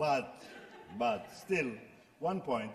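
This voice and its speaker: A man speaks with a Greek accent. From Greece. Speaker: writer, former mathematician; speaker. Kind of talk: panel discussion. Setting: stage with audience. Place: hall. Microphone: podium.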